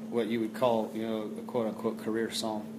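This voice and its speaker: A man's medium-pitched, monotone, flat voice amid noticeable background noise. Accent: Texas. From Texas, Fort Worth. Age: 30s. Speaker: country singer-songwriter. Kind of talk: interview. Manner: halting.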